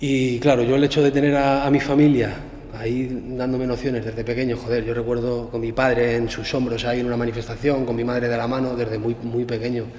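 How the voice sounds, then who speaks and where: Amid audible room echo and noticeable background noise, a man speaks at a very fast pace in a monotone with flat intonation. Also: medium pitch for a man. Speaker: former prisoner, political activist. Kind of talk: interview. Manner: halting.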